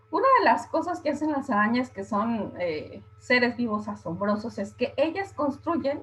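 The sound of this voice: A woman speaks at a fairly slow pace, her fairly bright tone carrying a slightly husky edge and lively intonation.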